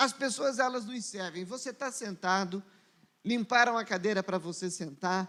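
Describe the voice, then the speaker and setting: Fairly slow speech from a man, very clean recording, silent background. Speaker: pastor. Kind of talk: sermon.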